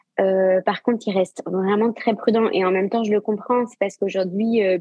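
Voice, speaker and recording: Speaking at a medium pitch, a woman lets it vary in an ordinary way. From Brittany, France (Saint-Malo). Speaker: yoga teacher and sophrologist. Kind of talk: interview. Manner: hesitant, many fillers.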